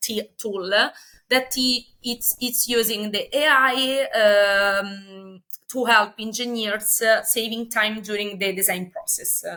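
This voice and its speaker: A woman with an Italian accent, fairly high in pitch, at a fairly slow pace. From Italy. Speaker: company representative. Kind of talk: interview. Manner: halting, many fillers.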